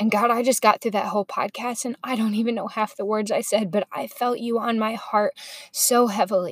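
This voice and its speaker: A woman talks at a fairly quick pace and a fairly high pitch in an ordinary speaking voice. The sound is dry and close, with no echo. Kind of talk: fervent spoken prayer. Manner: intimate, earnest, heartfelt, soft and sincere.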